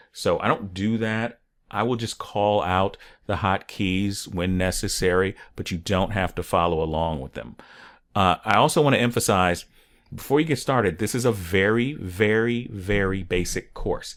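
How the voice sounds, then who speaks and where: Recorded very cleanly with a silent background, a man in an unremarkable speaking voice talks at a moderate pace and a fairly low pitch with ordinary pitch variation. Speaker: online 3D course instructor. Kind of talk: tutorial. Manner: casual, with filler words.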